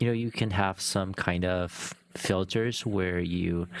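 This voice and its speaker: A man speaks with a non-native accent in a very deep, low pitch. His pitch varies in an ordinary way. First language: not English. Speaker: live streamer. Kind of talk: casual livestream chat. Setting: live stream. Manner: hesitant, searching for words.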